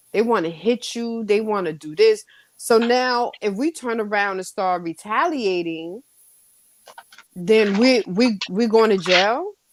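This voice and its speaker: Her pitch is fairly high, with ordinary pitch variation. This woman speaks at a fairly slow pace. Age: middle-aged. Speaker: author. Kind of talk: casual chat. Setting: podcast.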